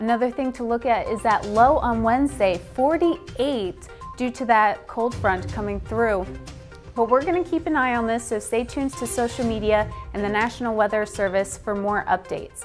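Over clear music in the background, a woman speaks at a moderate pace with lively intonation and a fairly high pitch. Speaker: broadcast meteorologist. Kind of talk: TV weather forecast. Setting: studio. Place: studio.

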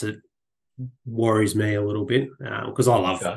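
In a monotone, flat intonation, a man talks at a fairly low pitch. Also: quiet background. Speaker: landscape and weather photographer. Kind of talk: casual interview.

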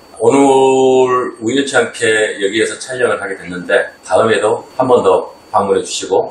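Male speech at a moderate pace amid light background noise and audible room echo. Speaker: golf venue owner and company CEO. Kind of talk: casual interview chat. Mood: calm, friendly. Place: office.

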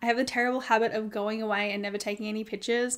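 This is a woman speaking with an Australian accent.

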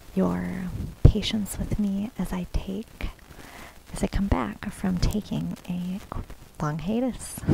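A woman speaks very slowly at medium pitch, with ordinary pitch variation and long, frequent pauses. The sound is dry with no echo, but there is noticeable background noise. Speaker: ASMR content creator. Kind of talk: ASMR nail painting tutorial, casual talk to camera. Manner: friendly, casual, conversational. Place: home room. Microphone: phone near.

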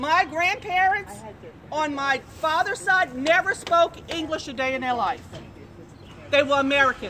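A woman's high, raised and projected voice with lively intonation at a moderate pace, over light background noise. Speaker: protester. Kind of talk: heated street argument. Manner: confrontational. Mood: indignant, argumentative. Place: street. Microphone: phone near.

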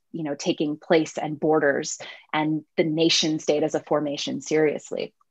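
With fairly even intonation, the speaker keeps a moderate pace against a quiet background. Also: woman, very deep, low pitch for a woman. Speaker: professor. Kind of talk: panel discussion. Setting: video call. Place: home room. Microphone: webcam.

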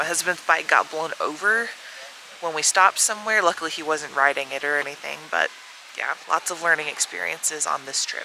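A normal speaking voice at a fairly quick pace, with ordinary pitch variation, dry sound with no echo and light background noise. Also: woman, fairly low pitch for a woman. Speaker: travel vlogger. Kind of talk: casual vlog chat. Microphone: phone near.

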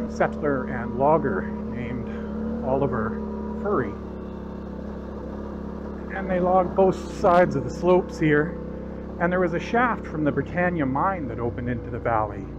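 Long, frequent pauses break up a man's speech over loud background noise. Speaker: motorcycle rider vlogger. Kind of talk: casual vlog commentary. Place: motorbike. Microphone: helmet.

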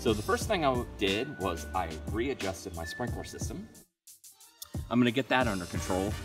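A man's voice with clear music in the background. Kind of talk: casual vlog chat. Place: garden. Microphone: phone near.

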